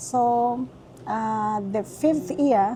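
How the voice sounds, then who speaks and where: The speaker has a Kenyan accent and a somewhat breathy voice. The intonation is lively. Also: woman. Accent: Kenyan accent, kept. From Kenya (Nairobi, Nakuru). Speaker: restaurant owner. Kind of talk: interview. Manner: halting, repetitive.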